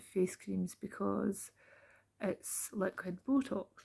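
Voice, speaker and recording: A woman with a Scottish accent speaks very slowly at a medium pitch, her tone dark and mellow and her intonation fairly even. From Scotland. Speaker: beauty therapist. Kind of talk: casual talk to camera. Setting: home, late at night.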